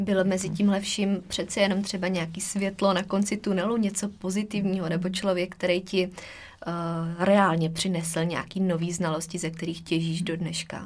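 Somewhat breathy, a woman speaks at a moderate pace and a medium pitch in a flat monotone. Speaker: podcast host, nutrition coach. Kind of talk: interview.

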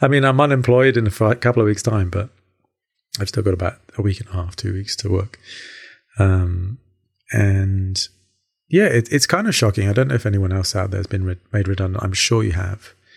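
A man speaks at a fairly quick pace, somewhat breathy, with long, frequent pauses. The recording is very clean with a silent background. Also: fairly low pitch for a man, ordinary pitch variation. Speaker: podcaster, construction worker. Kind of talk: solo personal podcast monologue. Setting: home recording. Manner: casual, rambling, with many fillers.

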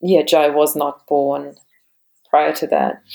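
Speaking in a German accent, a woman keeps a moderate pace. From Germany. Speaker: yoga teacher and marine biologist. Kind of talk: interview about birth and yoga practice.

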